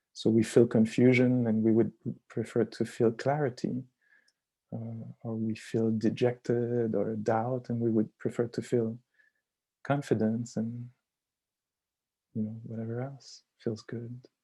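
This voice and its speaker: Speaking in a French Canadian accent, a man with a dark, mellow tone and medium pitch goes at a fairly slow pace, flat and monotone, with long, frequent pauses. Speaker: meditation teacher. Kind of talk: dharma talk. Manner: halting.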